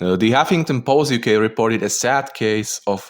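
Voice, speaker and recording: A man talks at a fairly slow pace, his pitch varying in an ordinary way, on a very clean recording with a silent background. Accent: non-native. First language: not English. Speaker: content creator. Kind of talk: casual commentary. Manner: halting.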